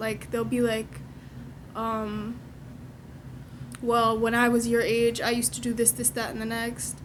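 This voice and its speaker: With audible room echo, a woman speaks at a moderate pace in a fairly high voice. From Canada. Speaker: daughter. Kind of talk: casual chat.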